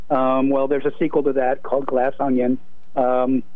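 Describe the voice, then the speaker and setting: A man speaks with an American accent. The recording carries audible room echo and noticeable background noise. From Boston area (Brookline). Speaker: film critic. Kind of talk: radio interview.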